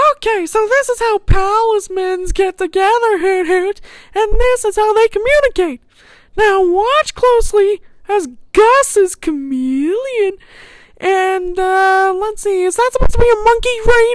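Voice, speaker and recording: In a squeaky cartoonish character voice, the speaker talks at a moderate pace with an extremely high pitch. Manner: chirpy, punctuates speech with "hoot hoot".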